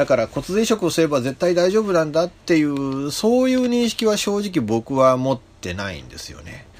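A man at a moderate pace with hardly any pauses, very wide pitch swings and big swings in loudness, over noticeable background noise. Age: 50s. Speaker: internet radio host. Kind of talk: casual solo radio talk. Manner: chatty, rambling, informal.

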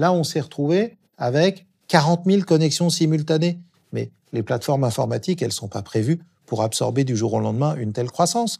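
The tone is dark and mellow, somewhat breathy. Delivery comes at a fairly quick pace with lively intonation. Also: man, fairly high pitch for a man. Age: 50s. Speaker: public digital agency director. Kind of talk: interview. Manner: hesitant with fillers.

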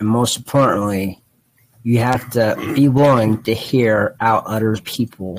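Speaking at a fairly slow pace, a man with an ordinary speaking voice keeps a medium pitch and fairly even intonation. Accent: American. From Ohio, US Midwest. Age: 20s. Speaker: podcast co-host. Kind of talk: casual chat.

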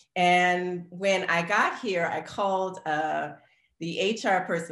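A woman speaks at a fairly low pitch. Vocal fry runs through her voice. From New Orleans, Louisiana. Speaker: K-pop dancer and actor. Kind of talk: casual chat.

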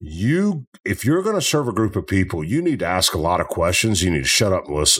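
On a very clean recording with a silent background, a man with a Tennessee accent talks at a fairly quick pace with hardly any pauses. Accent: Southern US (Tennessee). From US South, Memphis, Tennessee. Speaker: football coach and business owner. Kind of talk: interview.

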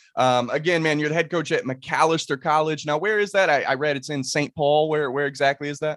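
A man speaks at a fairly quick pace with a fairly high pitch and ordinary pitch variation, in a plain, everyday voice. The recording is very clean, the background silent. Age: 20s. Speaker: podcast host. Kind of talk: casual interview chat.

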